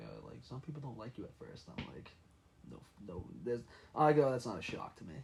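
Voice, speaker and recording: Medium in pitch, a man speaks at a very fast pace with vocal fry. His loudness swings widely. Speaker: podcast guest, former college baseball pitcher. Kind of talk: casual chat.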